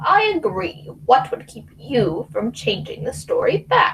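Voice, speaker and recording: A female-sounding, put-on character voice moves at a fairly slow pace. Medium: stage play. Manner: haughty, condescending.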